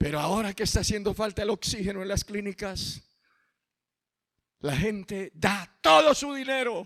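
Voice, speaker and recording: In a dry, close sound with no echo, a man with a high pitch uses a raised, projected voice and an animated tone at a moderate pace. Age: 50s. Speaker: pastor. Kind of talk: sermon.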